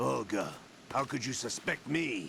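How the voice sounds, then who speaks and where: Over clear background noise, a man puts on a raspy character voice at a medium pitch and a moderate pace. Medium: video game. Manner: clipped, controlled.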